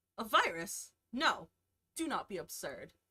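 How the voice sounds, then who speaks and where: This is a put-on character voice. It sounds female and has a high pitch. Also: moderate pace. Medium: virtual streamer. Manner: haughty, dismissive.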